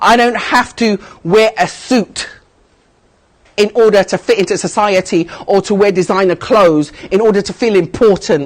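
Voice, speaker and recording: Speaking with a British accent at a moderate pace, the voice carries a passionate tone with ordinary pitch variation. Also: woman, medium pitch for a woman. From United Kingdom. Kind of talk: interview answer. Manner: emphatic, passionate.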